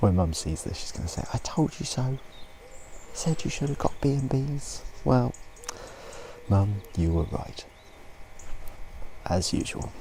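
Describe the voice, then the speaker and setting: A soft-spoken man talks at a fairly low pitch with very wide pitch swings. His pace is fairly slow, with long, frequent pauses and noticeable background noise. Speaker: motorcycle travel vlogger. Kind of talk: vlog narration. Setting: outdoors.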